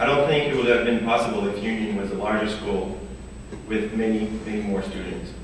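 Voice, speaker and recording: Amid noticeable background noise and audible room echo, a man talks at a fairly quick pace with fairly low pitch and fairly even intonation. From French Canada. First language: French. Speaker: college student athlete. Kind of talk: prepared speech.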